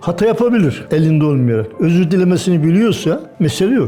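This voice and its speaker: With music in the background, a man talks with lively intonation. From Erzincan, eastern Turkey. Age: 80s+. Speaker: retired bus and truck driver. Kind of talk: interview answer.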